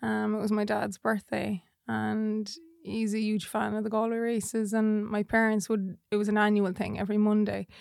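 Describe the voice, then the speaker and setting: The speaker has a west of Ireland accent and a monotone, flat intonation at a fairly quick pace. The recording is very clean, with a silent background. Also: woman. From Ireland, Portumna, County Galway. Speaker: jockey's wife. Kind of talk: casual chat. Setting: studio.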